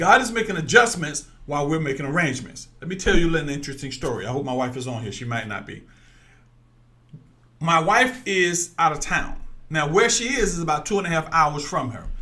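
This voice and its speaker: In a room with audible echo, a man with a fairly high pitch speaks in an animated tone, his pitch swinging very widely. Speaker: online preacher. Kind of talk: sermon. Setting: livestream. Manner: loud.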